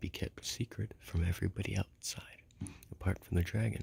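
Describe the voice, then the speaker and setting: Someone is whispering in a soothing tone. The pace is moderate. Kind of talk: ASMR book reading, whispered and soft-spoken. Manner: soft-spoken, soothing, whispered.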